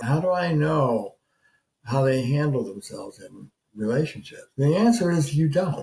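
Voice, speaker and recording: Dark and mellow in tone, a man's voice comes across somewhat breathy. Its pitch is fairly high. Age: 70s. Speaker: couples therapist. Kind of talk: advice talk to camera. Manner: halting, many fillers and restarts.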